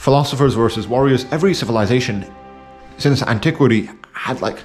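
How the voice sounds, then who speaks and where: Mumbling at a medium pitch with ordinary pitch variation, a man speaks against noticeable background noise. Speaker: video essayist. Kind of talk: casual monologue. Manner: halting, many fillers.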